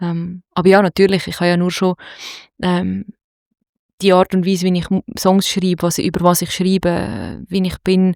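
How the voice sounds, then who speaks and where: In a Zurich accent, a woman delivers her words at a moderate pace in a medium pitch with monotone, flat intonation and long, frequent pauses, on a very clean recording with a silent background and a dry, close sound with no echo. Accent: Zurich Swiss German. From Zurich, Switzerland. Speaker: singer-songwriter and producer. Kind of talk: interview. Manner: halting.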